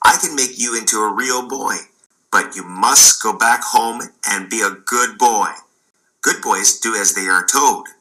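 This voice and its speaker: A man at a medium pitch talks in a put-on character voice. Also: moderate pace. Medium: read story.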